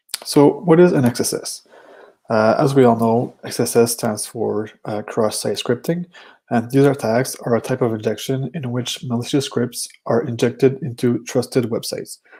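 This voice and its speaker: A man speaks at a moderate pace with a French Canadian accent. His tone is dark and mellow, with ordinary pitch variation. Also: medium pitch for a man. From Quebec. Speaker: security researcher. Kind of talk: conference talk. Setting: virtual conference. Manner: hesitant, many fillers.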